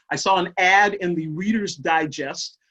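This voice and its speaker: Fairly slow and low-pitched, a woman's voice keeps a fairly even intonation. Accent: American. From Kansas. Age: 60s. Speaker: solo performer. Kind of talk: storytelling monologue. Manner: halting.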